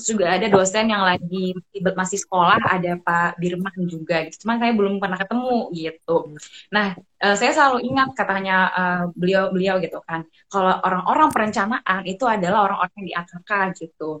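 With an ordinary speaking voice, a woman talks at a fairly quick pace, her medium pitch showing ordinary pitch variation. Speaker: public health student. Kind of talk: casual panel talk in an online live session.

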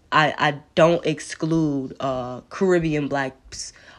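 A woman in a New York accent, her pitch very deep and low, against a quiet background. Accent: New York City. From New York City, Queens. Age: 20s. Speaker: podcast host. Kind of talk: solo monologue. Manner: halting, many fillers.

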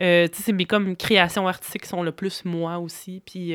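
At a fairly low pitch, a woman speaks with monotone, flat intonation at a moderate pace, the sound dry and close with no echo. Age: 30s. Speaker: stage director and author. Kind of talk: casual chat.

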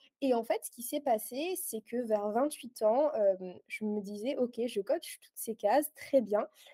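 At a very slow pace, a woman speaks at a high pitch with a dark, mellow tone, ordinary pitch variation and big swings in loudness, in a dry, close sound with no echo. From southern France, Aix-en-Provence. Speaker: life coach. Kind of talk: interview. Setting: in person.

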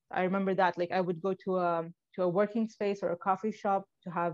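The background is quiet as a woman speaks in a Libyan accent. Her intonation is monotone and flat. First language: Arabic. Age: 20s. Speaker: blogger. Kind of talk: interview. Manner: halting.

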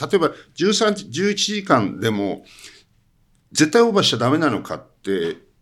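A man's voice with vocal fry and very wide pitch swings, on a very clean recording with a silent background. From Hokkaido, Iwamizawa. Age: 70s. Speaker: cinematographer. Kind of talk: interview.

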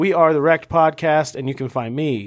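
A man speaks in an ordinary speaking voice at a moderate pace with ordinary pitch variation. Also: very clean recording, silent background. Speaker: podcast host. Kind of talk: casual banter, comedic podcast chat. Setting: studio on location. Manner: playful, joking.

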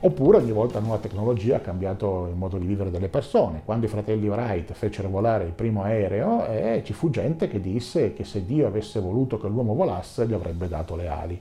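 Over noticeable background noise, a man with a fairly low pitch talks at a very fast pace. He hardly pauses, and his pitch varies in an ordinary way. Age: 50s. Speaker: association president and science communicator. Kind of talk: video monologue answering viewer comments.

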